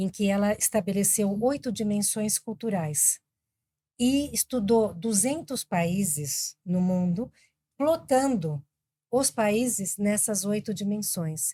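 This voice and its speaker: A woman speaks at a very slow pace, medium in pitch and somewhat breathy, with a dark, mellow tone. Her intonation is lively, and the sound is dry and close with no echo. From Brazil, Argentine family, also raised in Colombia. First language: Spanish (speaking Portuguese). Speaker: business executive. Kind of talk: podcast interview.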